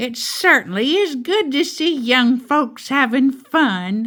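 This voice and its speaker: A high-pitched put-on character voice from a woman, at a fairly slow pace. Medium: read story. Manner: warm, welcoming.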